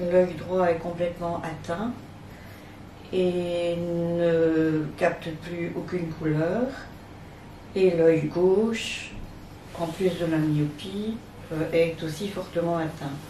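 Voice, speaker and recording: Speaking at a very slow pace with long, frequent pauses and fairly even intonation, the voice comes through noticeable background noise and audible room echo. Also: woman, fairly low pitch for a woman. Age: 60s. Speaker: retired teacher with visual impairment. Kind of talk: testimony. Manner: hesitant, many fillers.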